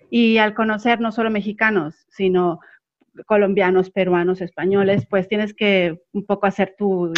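An ordinary speaking voice from a woman: mid-range pitch, ordinary variation, moderate speed. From Mexico City. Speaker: panel guest. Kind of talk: casual panel chat.

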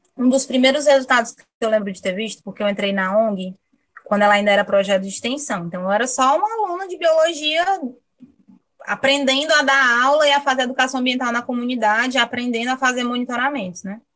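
A woman's high voice at a very fast pace, with big swings in loudness. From Brazil, Fortaleza (Ceará). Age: 20s. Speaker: marine biologist. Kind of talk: interview.

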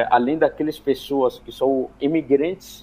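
Using a fairly slow pace and fairly even intonation, a man with an Arabic accent talks in a fairly high pitch. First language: Arabic (speaking Portuguese). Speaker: migrant rights activist. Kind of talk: radio panel interview. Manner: halting, many fillers.

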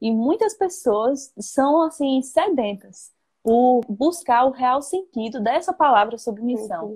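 A woman in a northeastern Brazilian accent, high-pitched, with lively intonation and a very slow pace. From Brazil, Northeast (Paraíba). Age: 20s. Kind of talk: casual faith conversation. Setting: Instagram live video call.

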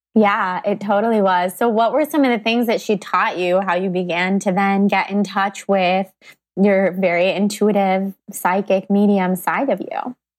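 In a very clean recording with a silent background, a woman at medium pitch has an unremarkable speaking voice. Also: fairly even intonation, moderate pace, very even loudness. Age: 20s. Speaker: podcast host. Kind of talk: casual interview chat.

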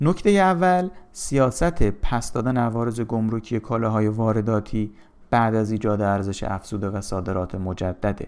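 A man speaks in a normal speaking voice at a moderate pace. His pitch sits in the middle range, with lively intonation. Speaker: economics commentator. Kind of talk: reading aloud.

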